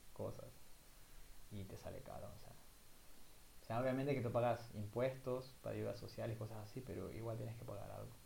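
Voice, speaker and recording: This man's voice sits at a medium pitch, with a dark, mellow tone and a somewhat breathy quality. He speaks at a moderate pace, and audible room echo surrounds him. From southern Ecuador (El Oro). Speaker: podcast co-host, university student. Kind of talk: casual chat.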